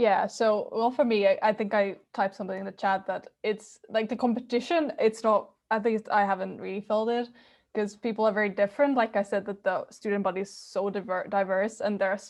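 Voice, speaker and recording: With a Finnish accent, a woman talks at a fairly quick pace in a fairly high pitch against a quiet background. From Finland. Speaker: university student. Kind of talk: webinar panel talk. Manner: halting.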